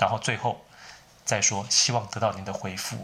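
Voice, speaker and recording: A man speaks with a bright, sharp tone. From Taiwan. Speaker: writer teaching English. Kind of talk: solo tutorial talk.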